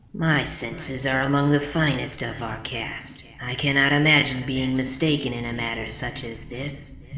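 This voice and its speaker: In a put-on character voice at a low-to-middle pitch, the speaker goes at a moderate pace over clear background noise with slight echo. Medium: read story. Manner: formal, solemn.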